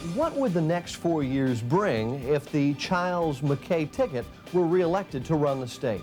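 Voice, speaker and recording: Over music in the background, a man with an American accent speaks at a fairly slow pace with a fairly high pitch, ordinary pitch variation, and very even loudness. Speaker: TV news anchor and host. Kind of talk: talk show interview question.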